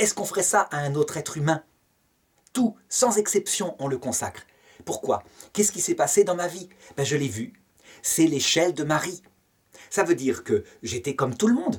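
Lively in intonation and high in pitch, a man talks at a moderate pace. He leaves long, frequent pauses against a quiet background. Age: 50s. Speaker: theology teacher. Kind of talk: lecture. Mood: calm, earnest. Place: home room. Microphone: webcam.

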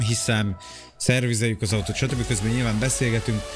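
Over clear background music, a man with a fairly low voice speaks at a fairly quick pace with fairly even intonation. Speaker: game streamer. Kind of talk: casual livestream chat. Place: home room.

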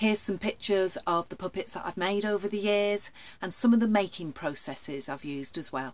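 Lively intonation from a woman. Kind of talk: casual explainer talk to camera. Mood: warm, enthusiastic. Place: home room. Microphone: webcam.

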